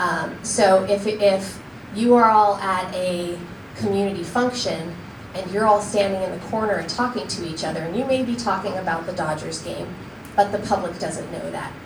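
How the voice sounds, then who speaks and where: A woman's voice with big swings in loudness, amid audible room echo and noticeable background noise. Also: medium pitch for a woman, ordinary pitch variation. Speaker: county attorney giving training. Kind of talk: training presentation. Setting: public meeting room. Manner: fast.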